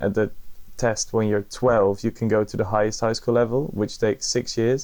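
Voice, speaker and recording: A man speaks at medium pitch with a Brabant accent. His intonation is flat and monotone. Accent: Brabant Dutch, soft G. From Netherlands, North Brabant. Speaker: podcast guest. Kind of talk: casual interview chat.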